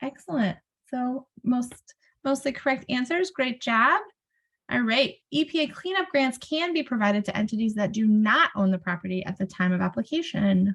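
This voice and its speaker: In an American accent, a woman speaks at a high pitch with very wide pitch swings and a moderate pace. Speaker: brownfields technical assistance presenter. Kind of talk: webinar presentation. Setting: video call webinar.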